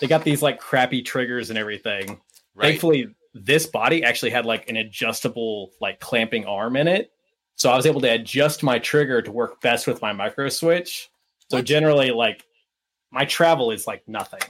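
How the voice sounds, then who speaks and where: This man has a plain, everyday voice with an American accent. His pitch is medium, with ordinary pitch variation. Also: fairly quick pace. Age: 20s. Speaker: airsoft player. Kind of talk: casual chat.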